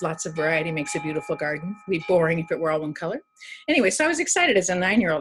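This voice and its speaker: Music plays behind a woman with an American accent who talks very fast, her pitch swinging very widely. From Oregon, Milwaukie area. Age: 70s. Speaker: resident speaking at a town hall. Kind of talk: personal testimony. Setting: virtual town hall video call.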